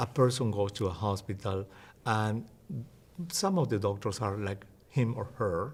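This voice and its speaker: A somewhat breathy man with a Spanish accent at a fairly slow pace, with long, frequent pauses. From Peru. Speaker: physician and health educator. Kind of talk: interview.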